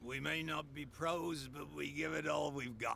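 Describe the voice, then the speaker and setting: A man puts on a raspy character voice with fairly high pitch, speaking at a moderate pace over clear background noise. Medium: video game. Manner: homespun, earnest.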